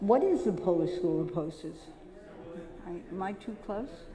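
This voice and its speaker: A woman with an American accent talks at a fairly slow pace and medium pitch, with ordinary pitch variation. Audible room echo and noticeable background noise surround her voice. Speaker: poster dealer, lecturer. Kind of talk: symposium lecture. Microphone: echo on the microphone.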